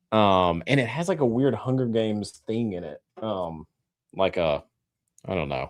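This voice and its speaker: Recorded very cleanly against a silent background, a man with a Southern US accent speaks at a fairly slow pace and medium pitch with very wide pitch swings. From Tennessee, outside Nashville. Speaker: whiskey channel co-host. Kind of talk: casual chat. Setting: live stream.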